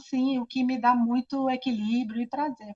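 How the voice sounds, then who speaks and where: A woman's high voice at a moderate pace, dry and close with no echo. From Brazil, Rio de Janeiro. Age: 60s. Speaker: architect and cultural association president. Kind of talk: interview. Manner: hesitant, many fillers.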